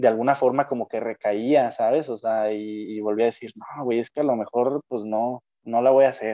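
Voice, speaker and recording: A man with a Mexican accent and a dark, mellow tone at medium pitch, fairly slow, with ordinary pitch variation, in a dry, close sound with no echo and a quiet background. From Mexico, Jalisco (Lagos de Moreno). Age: 20s. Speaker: engineering student. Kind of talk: casual chat.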